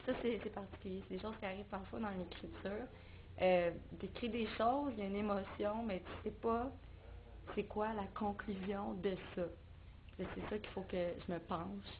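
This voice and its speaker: A woman with a Quebec accent speaks at a moderate pace with fairly even intonation and long, frequent pauses, amid noticeable background noise and audible room echo. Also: medium pitch for a woman. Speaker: singer-songwriter. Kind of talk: interview. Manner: halting.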